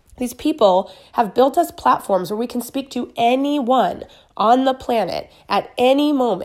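A woman speaks with a high pitch. Her voice moves through very wide pitch swings. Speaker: social media business coach. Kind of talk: motivational talk.

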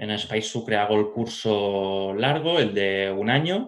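Using an ordinary speaking voice, a man speaks at a fairly low pitch with ordinary pitch variation. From Catalonia, Spain (Barcelona and Pyrenees). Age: 30s. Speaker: pastry chef. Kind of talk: interview conversation.

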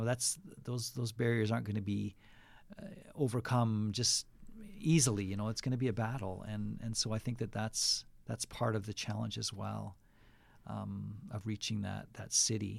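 In a western Canadian accent, a man with a fairly low pitch talks at a moderate pace with fairly even intonation. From western Canada. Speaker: pastor. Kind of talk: casual interview. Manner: halting, with frequent fillers.

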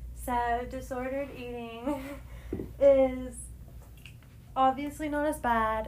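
A woman with an American accent talks very slowly in a high, monotone, flat voice, with long, frequent pauses and audible room echo. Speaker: podcast co-host, college student. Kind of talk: casual chat.

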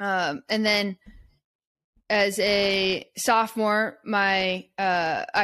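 An American accent is heard. Behind it the background is silent, and the recording is very clean. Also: woman. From US West Coast (Eugene, Oregon). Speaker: basketball coach and podcast producer. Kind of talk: interview conversation.

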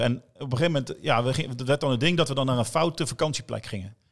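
A man speaks at a very fast pace with hardly any pauses. His pitch is medium, with ordinary pitch variation. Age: 40s. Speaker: bar owner and DJ. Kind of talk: casual chat.

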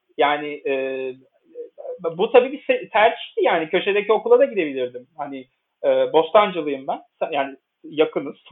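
Speaking at a fairly slow pace, a high-pitched man swings very widely in pitch and shows big swings in loudness. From Istanbul, Turkey. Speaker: journalist. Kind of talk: interview.

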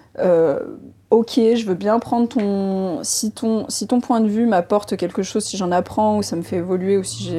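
This woman speaks at a moderate pace in a dark, mellow tone with ordinary pitch variation. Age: 30s. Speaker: entrepreneur. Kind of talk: interview.

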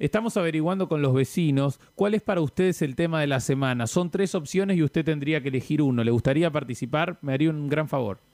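Delivered at a very fast pace with hardly any pauses, the voice has very even loudness and a dry, close sound with no echo. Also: man, fairly high pitch for a man, ordinary pitch variation. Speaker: podcast host, prank caller. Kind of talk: prank phone call. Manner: formal.

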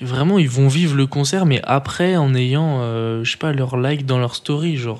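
A man speaks in a plain, everyday voice at a medium pitch. His pace is fairly slow, with ordinary pitch variation. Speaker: podcast co-host. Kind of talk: casual chat.

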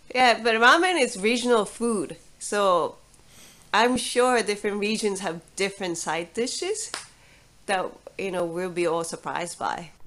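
The recording is very clean, with a silent background. A woman with a fairly high pitch speaks at a fairly slow pace. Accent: Japanese. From Japan (Fukuoka, Kyushu). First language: Japanese. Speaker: ramen chef. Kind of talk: casual interview.

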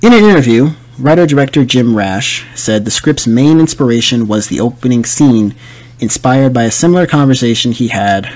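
At a moderate pace, a man with an unremarkable speaking voice speaks with ordinary pitch variation. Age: 20s. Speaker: podcast host. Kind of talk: solo movie review podcast. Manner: casual, filler-heavy.

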